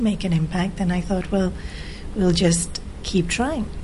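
Over noticeable background noise, a woman with an Australian accent talks at a moderate pace in a fairly low voice. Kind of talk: interview.

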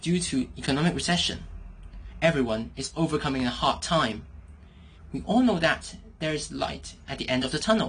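A woman with a very deep, low pitch and a somewhat breathy voice speaks at a fairly quick pace with lively intonation. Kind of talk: judge commentary.

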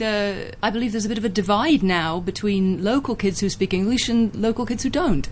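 This woman's voice is somewhat breathy. She talks fairly quickly. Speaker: radio host. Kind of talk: interview.

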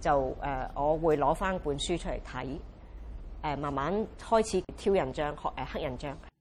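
At a moderate pace, the woman talks in a very deep, low pitch, her pitch varying in an ordinary way. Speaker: rubber stamp craft artist and teacher. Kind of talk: interview testimony. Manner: halting with many fillers.

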